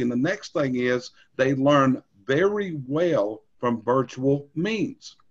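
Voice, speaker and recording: A man speaks at a fairly high pitch. His pitch swings very widely. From North Carolina. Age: 60s. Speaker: industry trainer. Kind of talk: training webinar. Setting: recorded screen session.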